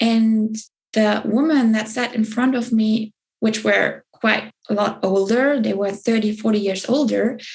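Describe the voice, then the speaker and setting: At a fairly slow pace, a somewhat breathy woman with a fairly high pitch holds a very even loudness and fairly even intonation. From southern Germany. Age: 20s. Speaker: spiritual business coach. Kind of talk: interview. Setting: podcast.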